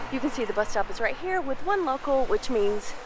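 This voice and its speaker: A woman's fairly high voice moves at a fairly quick pace against noticeable background noise. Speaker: travel vlogger. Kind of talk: casual travel vlog narration.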